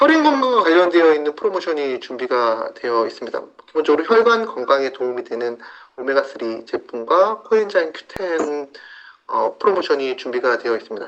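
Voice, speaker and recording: A high-pitched man's voice at a fairly quick pace, with very wide swings in pitch. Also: big swings in loudness. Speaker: health supplement presenter. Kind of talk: sales pitch. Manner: fast.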